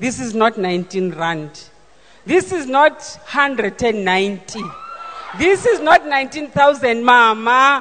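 A woman's high-pitched voice at a very slow pace, with very wide pitch swings and noticeable background noise. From KwaZulu-Natal, South Africa. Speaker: church member giving testimony. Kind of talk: testimony. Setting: church service.

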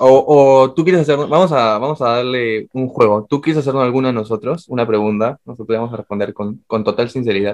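With a plain, everyday voice, a man talks at a fairly quick pace with hardly any pauses. His pitch is medium with ordinary variation. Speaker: podcast co-host. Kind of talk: casual chat.

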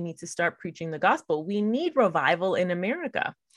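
Recorded very cleanly with a silent background, the sound is dry and close with no echo. A woman talks in a plain, everyday voice at a moderate pace, her intonation lively. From US-born Puerto Rican, lived in Puerto Rico nearly 10 years. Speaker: podcast host. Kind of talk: solo commentary podcast. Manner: casual, many fillers.

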